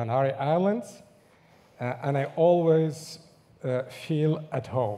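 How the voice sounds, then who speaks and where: Audible room echo surrounds a man's very slow delivery. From Morocco, near Agadir. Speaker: linguist. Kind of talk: conference talk. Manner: hesitant, many fillers.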